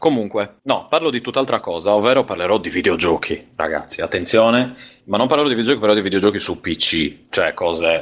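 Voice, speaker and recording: An unremarkable speaking voice from a man at a medium pitch, fairly quick and lively in intonation, on a very clean recording with a silent background. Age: 30s. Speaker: podcast co-host. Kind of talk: casual chat.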